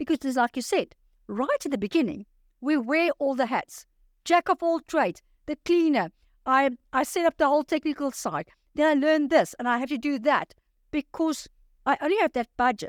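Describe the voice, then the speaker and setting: A woman's high-pitched, energetic voice at a moderate pace with ordinary pitch variation and long, frequent pauses, on a very clean recording with a silent background and a dry, close sound with no echo. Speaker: life coach. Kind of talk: interview.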